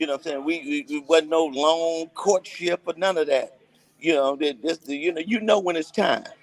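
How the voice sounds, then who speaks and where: Recorded dry and close with no echo but with noticeable background noise, a man speaks at a moderate pace in a high pitch with ordinary pitch variation. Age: 60s. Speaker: gospel singer. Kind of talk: casual chat.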